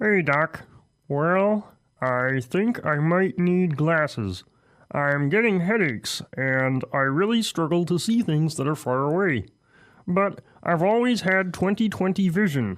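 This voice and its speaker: Using a put-on character voice at a high pitch, a man speaks fairly slowly with lively intonation and very even loudness on a very clean recording with a silent background. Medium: comedy sketch. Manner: hesitant.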